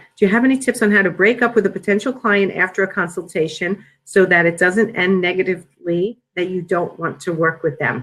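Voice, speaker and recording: Her speech runs at a fairly quick speed. This woman's voice has a medium pitch. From New York. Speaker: business coach. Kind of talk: webinar Q&A. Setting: online webinar. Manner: fast.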